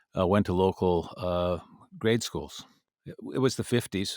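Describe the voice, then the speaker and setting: Speaking with an Upper Midwest accent, a man uses a very deep, low pitch and fairly even intonation. The recording is very clean, with a silent background. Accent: Upper Midwest American. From Minnesota, US Midwest (Minneapolis suburb). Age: 70s. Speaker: international education expert. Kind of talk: interview storytelling. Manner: halting, many fillers.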